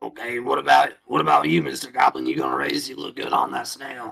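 A man puts on a character voice that is strained, guttural and raspy, with a very deep, low pitch. He speaks at a fairly quick pace. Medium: actual play. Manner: chatty, friendly.

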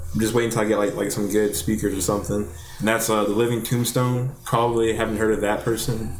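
A man with an American accent at a very fast pace, fairly low in pitch, with fairly even intonation, very even loudness and audible room echo. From Alabama, US. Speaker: music producer. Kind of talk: casual chat.

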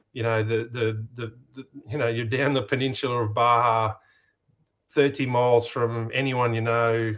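A man with an Australian accent speaks at a medium pitch and a moderate pace, in a monotone, flat intonation. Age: 50s. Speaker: off-road racer and race organiser. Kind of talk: casual interview chat.

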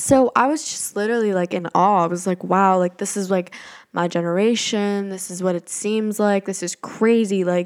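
With fairly even intonation, a woman speaks at a moderate pace and medium pitch. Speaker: podcast host. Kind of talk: casual solo monologue. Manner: occasional stumbles.

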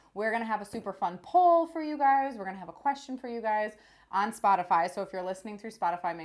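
A woman at a medium pitch talks at a very fast pace, her intonation lively. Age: 20s. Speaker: podcast co-host, magazine editor. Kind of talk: casual chat.

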